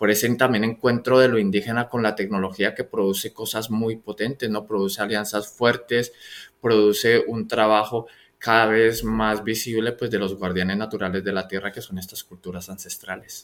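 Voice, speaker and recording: With monotone, flat intonation and a fairly low pitch, a man speaks in a very clean recording against a silent background. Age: 40s. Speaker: podcast host. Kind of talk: interview. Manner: halting, with many repetitions.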